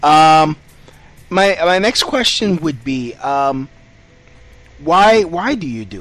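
Very slowly and with long, frequent pauses, a man speaks at a fairly high pitch, his voice making very wide pitch swings and big swings in loudness. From New York City, Puerto Rican family. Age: 30s. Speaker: podcast host and comedian. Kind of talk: casual interview. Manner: halting, repeats words.

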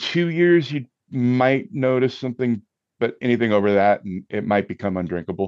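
With an unremarkable speaking voice, a man talks at medium pitch and a moderate pace, the sound dry and close with no echo. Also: lively intonation, quiet background. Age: 50s. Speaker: musician and cocktail enthusiast guest. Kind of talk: casual chat.

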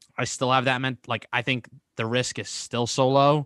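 Over a quiet background, a man talks at a medium pitch and moderate pace in a bright, sharp tone. The sound is dry and close, with no echo. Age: 20s. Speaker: entrepreneur and podcast host. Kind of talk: casual interview. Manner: halting, many fillers and repeats.

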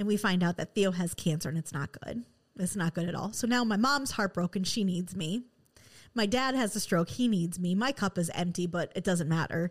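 Very clean recording, silent background: a woman at a medium pitch with a Midwestern American accent, ordinary pitch variation and a moderate pace. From West Michigan. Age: 30s. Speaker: podcast host. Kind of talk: personal monologue. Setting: studio.

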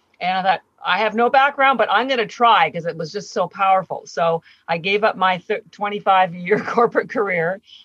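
A woman with an unremarkable speaking voice talks at a moderate pace in a medium pitch with ordinary pitch variation, recorded in a dry, close sound with no echo. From Canada. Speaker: company founder. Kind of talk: interview.

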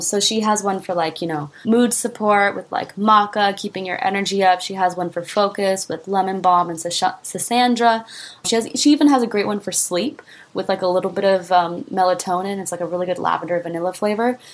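Using a normal speaking voice, a woman talks at medium pitch and a fairly quick pace with ordinary pitch variation. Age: 20s. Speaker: singer-songwriter and entrepreneur. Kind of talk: interview.

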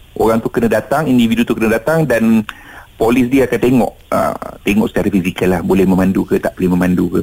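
A man speaks very fast while noticeable background noise carries on behind him. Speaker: automotive expert. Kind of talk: radio phone interview.

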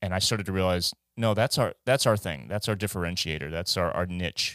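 At a fairly quick pace, a man speaks with ordinary pitch variation. The recording is very clean with a silent background and a dry, close sound with no echo. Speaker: musician guest. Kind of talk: casual chat.

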